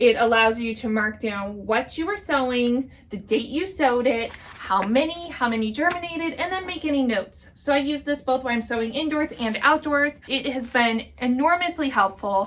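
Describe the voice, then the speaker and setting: Over noticeable background noise, a woman speaks in a high voice with hardly any pauses. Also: lively intonation, moderate pace. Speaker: gardening channel host. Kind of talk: tutorial. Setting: greenhouse.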